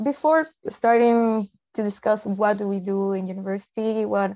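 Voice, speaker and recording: A woman speaks in a Peruvian accent at a medium pitch. Her tone is dark and mellow, and the background is quiet. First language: Spanish. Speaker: translator. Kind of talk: presentation.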